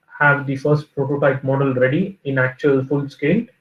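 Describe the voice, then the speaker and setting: A man talks in a fairly high, somewhat breathy voice with monotone, flat intonation. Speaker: reliability engineer. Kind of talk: lecture. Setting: video call. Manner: halting, many fillers.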